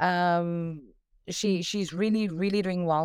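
A woman with a South African accent speaks at a fairly low pitch. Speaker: parent of recovering addict. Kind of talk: call-in conversation.

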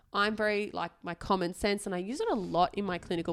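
In an Australian accent, a woman talks at a fairly quick pace with fairly even intonation. The recording is very clean, with a silent background. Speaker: doctor and podcast co-host. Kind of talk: casual chat.

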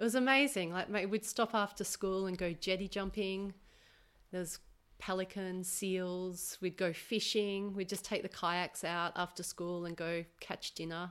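With an Australian accent, a woman speaks at a fairly slow pace and medium pitch with fairly even intonation, on a very clean recording with a silent background. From Australia, Melbourne. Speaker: massage therapist. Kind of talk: casual interview. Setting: her home.

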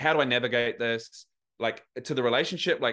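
Quick-ish and bright, a man with a New Zealand accent speaks in a sharp tone with ordinary pitch variation against a quiet background. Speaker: men's coach. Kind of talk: casual interview. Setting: remote call.

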